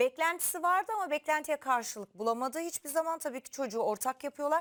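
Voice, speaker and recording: With a dry, close sound and no echo, a woman speaks at a high pitch that swings very widely. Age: 40s. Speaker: TV talk show host. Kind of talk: casual chat.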